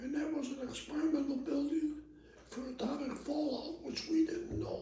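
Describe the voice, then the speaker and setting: This man's voice sits at an extremely high pitch with a dark, mellow tone, moving at a moderate pace with fairly even intonation. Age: 80s+. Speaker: retired sheet metal mechanic. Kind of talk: oral history interview answer.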